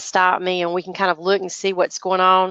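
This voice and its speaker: A woman with a North Carolina accent speaks at medium pitch and a fairly quick pace. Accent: Southern US (North Carolina). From North Carolina, US South. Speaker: business and marketing teacher. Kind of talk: online training webinar. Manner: halting, many fillers.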